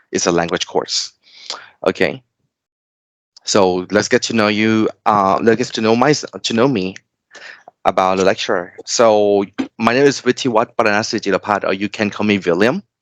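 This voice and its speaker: A man with a Thai accent and fairly low pitch, at a moderate pace with long, frequent pauses, in a dry, close sound with no echo. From Thailand. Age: 30s. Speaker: tutor. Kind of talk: online tutoring lesson. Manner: halting.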